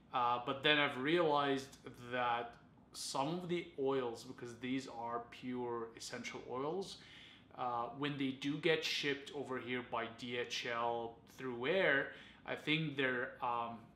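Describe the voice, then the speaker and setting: With light background noise and audible room echo, a man talks at a very slow pace in a bright, sharp tone and fairly even intonation. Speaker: fragrance reviewer. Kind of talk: casual review vlog. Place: home room.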